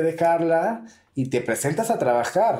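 At a fairly slow pace, a man speaks with a high pitch and a dark, mellow tone. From Venezuela. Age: 30s. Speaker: drag queen and entrepreneur. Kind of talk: casual interview. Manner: animated.

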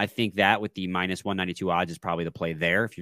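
A man's voice comes through dry and close with no echo, in a very clean recording with a silent background. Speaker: sports podcast host. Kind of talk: casual chat. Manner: fast when excited, stumbles over words.

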